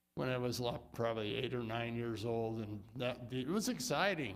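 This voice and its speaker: Noticeable room echo surrounds a man as he talks. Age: 80s+. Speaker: retired volunteer firefighter donating a fire engine. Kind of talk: public remarks at council meeting.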